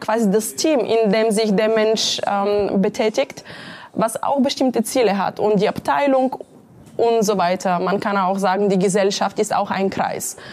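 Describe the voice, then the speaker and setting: A woman with a Bulgarian accent at a fairly slow pace. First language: Bulgarian (speaking German). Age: 30s. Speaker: entrepreneur and career coach. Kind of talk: interview.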